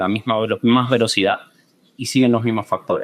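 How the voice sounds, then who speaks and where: A man with a Canarian accent, medium pitch, flat monotone intonation and a fairly quick pace. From Canary Islands, Tenerife. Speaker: software tech lead, conference speaker. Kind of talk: conference talk. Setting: stage with audience. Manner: hesitant, many fillers.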